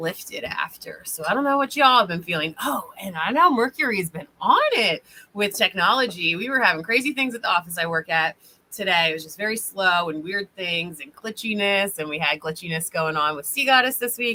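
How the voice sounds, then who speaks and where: With an animated tone and lively intonation, a woman at medium pitch talks at a fairly quick pace, her loudness swinging widely. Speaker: spiritual reader and healer. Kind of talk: livestream chat with readings. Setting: online livestream. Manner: fast; casual, animated.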